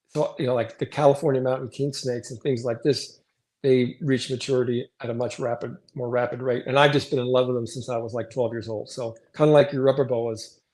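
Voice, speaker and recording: A man's plain, everyday voice, medium in pitch, at a fairly quick pace with fairly even intonation. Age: 60s. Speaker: reptile breeder. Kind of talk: casual chat.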